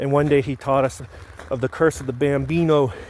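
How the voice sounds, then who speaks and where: This man talks at a fairly quick pace, his pitch fairly high and his intonation fairly even. Noticeable background noise is present. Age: 30s. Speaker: reality show applicant. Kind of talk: casual self-introduction video. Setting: outdoors. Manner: casual.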